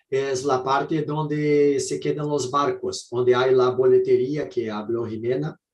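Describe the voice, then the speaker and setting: Speaking at a fairly slow pace with hardly any pauses, a man with a Brazilian accent has a medium pitch, fairly even intonation and a somewhat breathy voice. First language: Portuguese (speaking Spanish). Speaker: architect. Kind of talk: presentation. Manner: halting.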